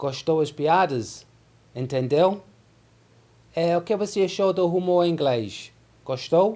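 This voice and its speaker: A man with a high pitch and a dark, mellow tone speaks at a very slow pace with long, frequent pauses. His loudness is very even and his pitch varies in an ordinary way. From London, England. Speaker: English teacher. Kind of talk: casual talk to camera.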